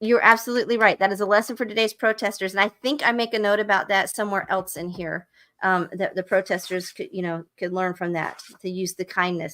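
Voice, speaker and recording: A woman's bright, sharp voice at medium pitch, fairly quick with hardly any pauses and fairly even intonation. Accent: Southern US. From US South. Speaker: book club livestream host. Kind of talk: live stream book discussion, reading aloud excerpts. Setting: live stream. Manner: casual, conversational.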